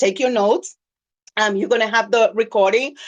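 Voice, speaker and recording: An animated tone at a moderate pace, ordinary pitch variation throughout. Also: woman. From Dominican Republic. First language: Spanish. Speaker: business coach. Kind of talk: webinar presentation.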